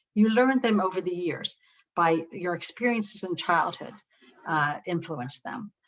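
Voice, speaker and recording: A plain, everyday voice with lively intonation at a moderate pace. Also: woman. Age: 60s. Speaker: psychologist presenting a webinar. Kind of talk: webinar lecture. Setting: webinar.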